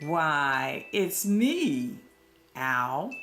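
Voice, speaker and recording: A woman's put-on character voice, fairly low in pitch, with very wide pitch swings and faint music in the background. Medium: read story.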